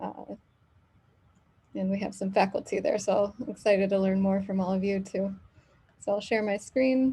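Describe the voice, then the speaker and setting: A soft-spoken woman with an American accent, medium pitch, a somewhat breathy, dark, mellow tone, fairly even intonation, a moderate pace, and long, frequent pauses. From US Midwest (Michigan). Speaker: professor. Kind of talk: lecture.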